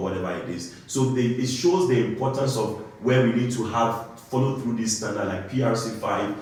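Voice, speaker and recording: Over noticeable background noise and audible room echo, a man talks with an African accent. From Ghana. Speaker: compliance engineer. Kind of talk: interview. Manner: halting, many fillers and restarts.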